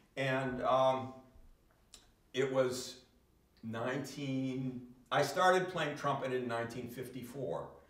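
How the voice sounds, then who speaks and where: In a room with audible echo, a man with an American accent speaks at a very slow pace in a medium pitch, with fairly even intonation and long, frequent pauses. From Massachusetts, Boston area. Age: 70s. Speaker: trumpet player and singer. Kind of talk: live music performance talk. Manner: halting.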